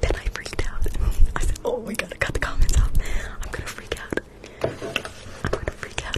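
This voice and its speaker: Someone whispers with an American accent amid noticeable background noise. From Nevada, US. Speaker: ASMR streamer. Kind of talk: ASMR roleplay livestream. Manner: very quiet whisper.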